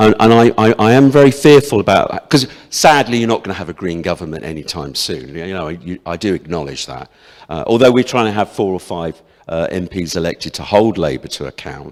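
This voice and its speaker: Very deep, low male voice with vocal fry, very wide pitch swings, big swings in loudness and a fairly quick pace, on a very clean recording with a silent background. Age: 60s. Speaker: parliamentary candidate. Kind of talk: hustings debate answer.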